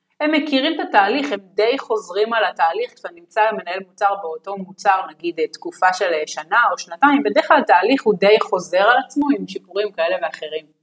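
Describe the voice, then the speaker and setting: A woman races along at a fairly quick pace with hardly any pauses, her medium pitch making very wide swings. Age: 30s. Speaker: product management team lead. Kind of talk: interview. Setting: remote call.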